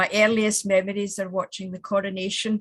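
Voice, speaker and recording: In a Scottish accent, a somewhat breathy woman speaks at medium pitch with monotone, flat intonation over a quiet background. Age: 70s. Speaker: women's organisation regional president. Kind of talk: tribute message.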